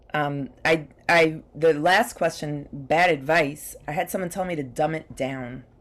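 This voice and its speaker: A woman's very deep, low voice at a fairly slow pace with ordinary pitch variation and hardly any pauses, on a very clean recording with a silent background. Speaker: comedian. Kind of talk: panel discussion. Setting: virtual panel event.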